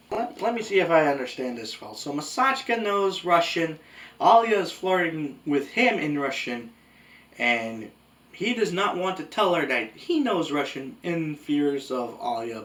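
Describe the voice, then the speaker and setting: This man speaks at a fairly slow pace. His pitch swings very widely. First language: Spanish. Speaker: anime reviewer. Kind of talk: video essay review. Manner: casual conversational.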